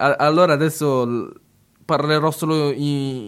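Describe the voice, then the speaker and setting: A man is speaking. His pitch is fairly high. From Italy, Italian-speaking region. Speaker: radio host. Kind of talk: radio show presentation. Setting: studio. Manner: halting, hesitant with repetitions.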